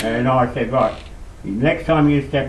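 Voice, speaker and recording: A man speaks with fairly even intonation at a moderate pace while noticeable background noise continues. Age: old. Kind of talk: casual conversation. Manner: rambling, hesitant.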